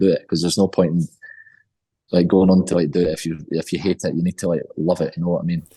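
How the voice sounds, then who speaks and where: A man speaks with a Scottish accent at a very fast pace. His very deep, low pitch has a dark, mellow tone and fairly even intonation. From Scotland. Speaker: rock band singer. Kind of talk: interview.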